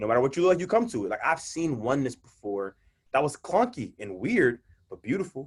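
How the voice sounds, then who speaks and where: An American-accented man talks very fast in a fairly high, somewhat breathy voice. His tone is animated, with very wide pitch swings. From Mississippi and California. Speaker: poet and minister. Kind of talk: casual interview chat. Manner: animated, repeats words.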